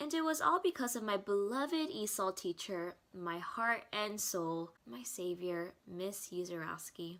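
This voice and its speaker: Speaking with an American accent, a woman uses a medium pitch, a fairly slow pace and very wide pitch swings, with a playful, upbeat tone and hardly any pauses. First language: Korean. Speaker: student. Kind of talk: scripted narration.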